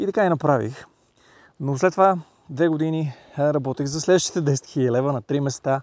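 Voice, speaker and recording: An unremarkable speaking voice, this man's sits at fairly high pitch with ordinary pitch variation, moving at a fairly quick pace in a dry, close sound with no echo over a quiet background. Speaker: NLP trainer. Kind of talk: casual monologue. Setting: outdoors, mountain trail. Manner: casual, with filler sounds.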